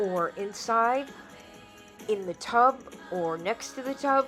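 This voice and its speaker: Over music in the background, a woman speaks in an upbeat tone with an American accent. Her intonation is lively and her pitch is medium. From New York. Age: 70s. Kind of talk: casual talk to camera.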